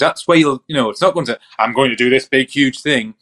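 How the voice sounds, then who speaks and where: An ordinary speaking voice with lively intonation. The sound is dry and close, with no echo. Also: man. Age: 30s. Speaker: mental health professional and podcast co-host. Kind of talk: casual chat.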